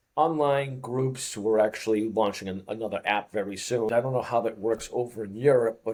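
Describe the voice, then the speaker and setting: A man with a Boston accent at a fairly quick pace, his intonation fairly even. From US Northeast, Boston. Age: 50s. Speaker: fitness coach. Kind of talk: podcast interview. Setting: studio.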